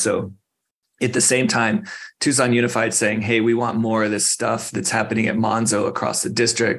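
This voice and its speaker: A man in an American accent with an unremarkable speaking voice, medium pitch, fairly even intonation and a fairly quick pace. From Arizona, Phoenix. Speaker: school garden program director. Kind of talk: interview.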